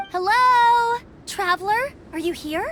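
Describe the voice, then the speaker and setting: A woman puts on a squeaky character voice at an extremely high pitch. She talks fairly slowly over clear background noise. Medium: video game. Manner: bright, friendly.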